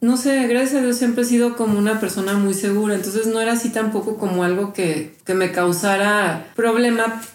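A woman's fairly quick delivery with hardly any pauses, very even loudness, and noticeable background noise. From Mexico City. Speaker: healer and graphic designer. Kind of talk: interview testimony. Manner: casual, hesitant with fillers.

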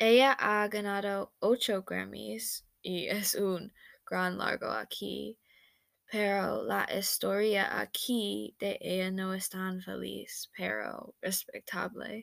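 A woman with an American accent at a very slow pace, on a very clean recording with a silent background. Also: dry, close sound with no echo. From United States. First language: English (speaking Spanish). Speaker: language student. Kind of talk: student presentation. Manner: halting.

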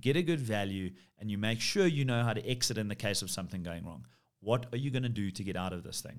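Speaking at a very fast pace, a man with a fairly low pitch uses lively intonation and big swings in loudness. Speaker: commercial real estate CEO. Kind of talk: interview.

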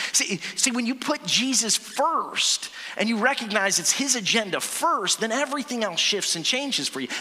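A man at an extremely high pitch, lively in intonation with hardly any pauses, against noticeable background noise. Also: moderate pace. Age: 40s. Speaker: pastor. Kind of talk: sermon. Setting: church. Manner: animated.

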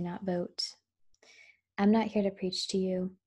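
The recording is very clean, with a silent background, and a woman speaks at a medium pitch in a dark, mellow tone. Her voice is somewhat breathy, and her pace is fairly quick. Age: 30s. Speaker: podcaster. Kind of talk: personal monologue.

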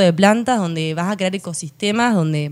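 The woman's speech moves at a moderate pace. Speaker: landscape designer. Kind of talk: casual interview chat.

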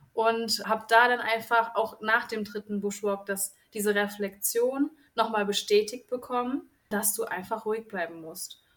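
Fairly even intonation and a fairly slow pace in a plain, everyday voice. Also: woman, fairly high pitch for a woman. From central Germany, near Kassel (northern Hesse). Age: 20s. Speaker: kindergarten teacher, group-trip participant. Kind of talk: casual interview chat.

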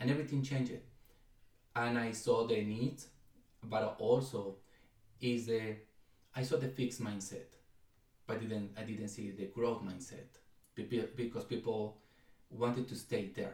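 A man with a Spanish accent, somewhat breathy, medium-pitched, with fairly even intonation, a fairly slow pace and long, frequent pauses. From Mexico, Ciudad Guzmán. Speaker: education nonprofit co-founder. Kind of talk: casual interview.

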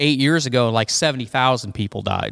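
Recorded very cleanly against a silent background, with a dry, close sound and no echo, a man uses a normal speaking voice at medium pitch with ordinary pitch variation. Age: 50s. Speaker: farmer, co-host's father. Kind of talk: casual political chat.

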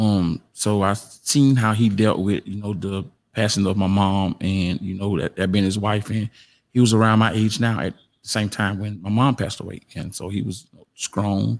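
A man with a South Carolina accent, fairly low in pitch, at a moderate pace with fairly even intonation, on a very clean recording with a silent background. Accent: Southern US (South Carolina). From US South. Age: 40s. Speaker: podcast guest. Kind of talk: testimony. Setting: studio. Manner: laid back.

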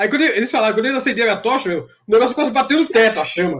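A man speaks with an extremely high pitch. His intonation is lively. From São Paulo, Brazil. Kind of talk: storytelling.

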